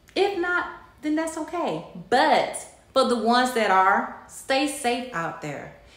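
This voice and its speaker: Audible room echo around a female voice. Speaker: vlogger. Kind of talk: casual vlog chat. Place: kitchen. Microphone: phone near.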